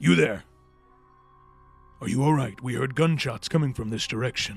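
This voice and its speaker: A man in a put-on character voice, medium-pitched, with lively intonation at a moderate pace and music in the background. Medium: actual play. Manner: authoritative, probing.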